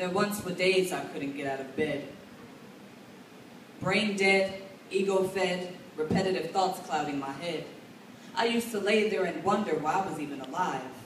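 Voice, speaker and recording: A woman talks at a moderate pace with an American accent, her pitch medium and its variation ordinary. Long, frequent pauses break up her speech, and noticeable background noise runs underneath. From Chicago. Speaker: slam poet. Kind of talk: slam poetry performance. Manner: smooth.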